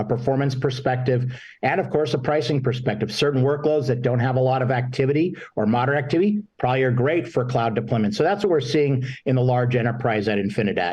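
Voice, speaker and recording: Talking at a very fast pace with hardly any pauses, a man has a medium pitch, ordinary pitch variation and very even loudness. His voice is somewhat breathy, and audible room echo surrounds it. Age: 60s. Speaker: marketing executive. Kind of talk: panel interview.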